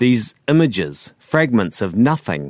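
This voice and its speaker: Over a quiet background, a man with a New Zealand accent speaks at medium pitch in a dry, close sound with no echo. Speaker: fiction author narrating his own story. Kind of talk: first-person literary sci-fi narration, brooding confessional monologue. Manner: measured, deliberate, darkly introspective.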